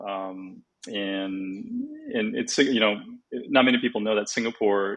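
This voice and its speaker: A man with a West Coast US accent, fairly low in pitch, at a moderate pace. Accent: General American (West Coast). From California, San Francisco Bay Area. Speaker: golf teaching professional, former tour player. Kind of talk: podcast interview. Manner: casual, many fillers.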